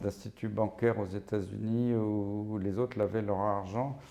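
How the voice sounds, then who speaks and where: This man's voice has a dark, mellow tone. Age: 60s. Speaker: physician and professor of infectious diseases. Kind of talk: interview. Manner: animated.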